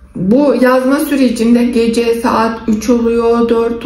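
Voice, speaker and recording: A woman's fairly high pitch in monotone, flat intonation, with audible room echo and noticeable background noise. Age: 60s. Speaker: face yoga instructor and vlogger. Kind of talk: casual vlog talk.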